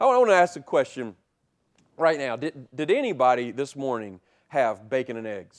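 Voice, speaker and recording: Man with an unremarkable speaking voice, fairly high pitch, lively intonation and moderate pace against a quiet background. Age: 40s. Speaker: pastor. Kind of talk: sermon. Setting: church.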